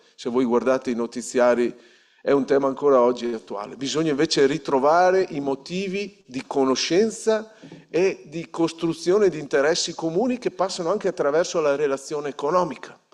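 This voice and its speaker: Over noticeable background noise, a man talks at a fairly quick pace with a fairly high pitch. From northern Italy, Polesine (Veneto, near the Po). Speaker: regional politician. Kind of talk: ceremony speech. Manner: halting, with frequent self-corrections.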